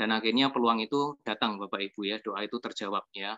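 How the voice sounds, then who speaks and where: The speech moves at a fairly quick pace. The tone is bright and sharp. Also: man. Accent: Yogyakarta. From Yogyakarta, Java. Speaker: restaurant owner and network-marketing presenter. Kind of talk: testimonial presentation to an audience.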